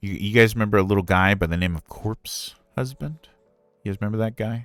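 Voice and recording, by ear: A man talks at a moderate pace, his pitch varying in an ordinary way, in a very clean recording with a silent background.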